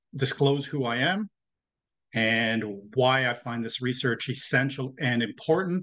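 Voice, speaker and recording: This man speaks fairly slowly with a slight French Canadian accent, a medium pitch, ordinary pitch variation, and a bright, sharp tone. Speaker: professor. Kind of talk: lecture.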